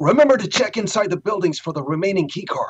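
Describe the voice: A man puts on a character voice, husky, raspy, and strained, at a high pitch and a very fast pace.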